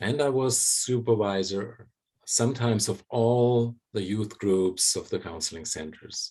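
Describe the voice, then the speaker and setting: A man with a German accent speaks at a fairly low pitch with a dark, mellow tone. His pitch varies in an ordinary way, and his pace is very slow. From Germany. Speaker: psychologist and bioenergetic therapist. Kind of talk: conversation.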